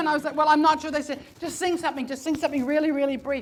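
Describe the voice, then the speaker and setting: A woman speaks at a high pitch. Music plays in the background. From New Zealand. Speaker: comedian and storyteller. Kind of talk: live comedy storytelling performance. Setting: live stage.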